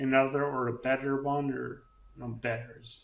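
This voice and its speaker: Audible room echo surrounds a man speaking at a moderate pace. His medium-pitched voice stays monotone, with flat intonation. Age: 40s. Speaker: brain injury survivor and podcaster. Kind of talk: interview. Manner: halting, with speech deficit.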